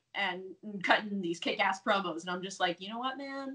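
Over a quiet background, a woman with an American accent speaks with ordinary pitch variation. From United States. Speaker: professional wrestler. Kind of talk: casual interview. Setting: video call. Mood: upbeat, enthusiastic. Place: home room. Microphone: earbuds.

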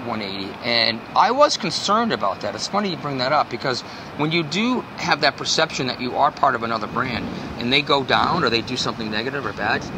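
Amid noticeable background noise, a man speaks at a very fast pace. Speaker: guest. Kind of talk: interview answer. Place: street.

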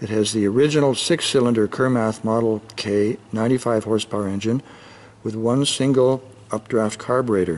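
With fairly even intonation, a man speaks at a moderate pace. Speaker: boat sales agent. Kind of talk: sales walkaround commentary. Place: garage.

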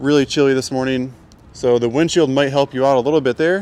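A man's voice with ordinary pitch variation and a dry sound free of echo. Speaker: dealership video host. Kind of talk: product walk-around commentary. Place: street. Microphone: phone near.

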